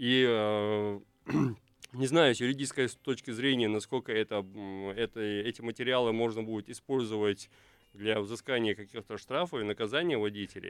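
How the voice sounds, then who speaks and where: At a moderate pace, a man with a medium pitch and fairly even intonation speaks with long, frequent pauses. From Chechnya. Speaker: blogger, civic activist. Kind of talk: radio talk show discussion. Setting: radio studio.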